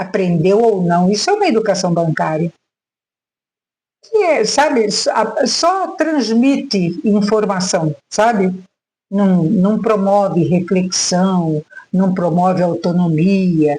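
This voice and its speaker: A woman at a medium pitch speaks very slowly with lively intonation and very even loudness, leaving long, frequent pauses. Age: 70s. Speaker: retired teacher. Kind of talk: reflective monologue vlog. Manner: halting, with frequent fillers.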